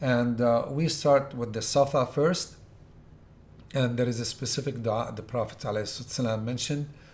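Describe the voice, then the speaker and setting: At a moderate pace and a medium pitch, a man speaks somewhat breathily with fairly even intonation. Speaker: Hajj tour organizer giving instructions. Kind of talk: lecture.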